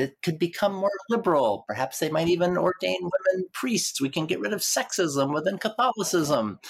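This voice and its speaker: A woman is speaking. Her voice has vocal fry. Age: 60s. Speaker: historian of transgender studies. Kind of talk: interview conversation.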